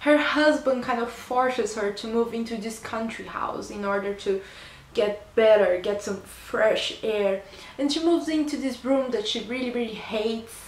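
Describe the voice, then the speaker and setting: A woman with a Portuguese accent talks at a moderate pace and fairly high pitch with ordinary pitch variation amid audible room echo. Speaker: book reviewer. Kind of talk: book review vlog. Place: home room. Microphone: phone near.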